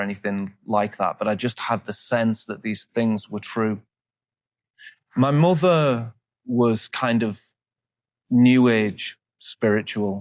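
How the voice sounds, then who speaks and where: On a very clean recording with a silent background, a man speaks in a Yorkshire accent. His pitch is fairly low and his pace very slow. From northern England, Leeds. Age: 40s. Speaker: monk. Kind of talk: interview testimony. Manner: halting, frequent repetitions.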